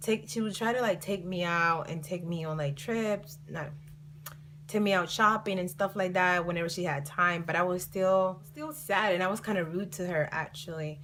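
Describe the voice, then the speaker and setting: A woman in a Colombian accent talks at a moderate pace, her pitch fairly low with ordinary variation. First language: Spanish. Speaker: vlogger. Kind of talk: storytime vlog. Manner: casual, filler-heavy.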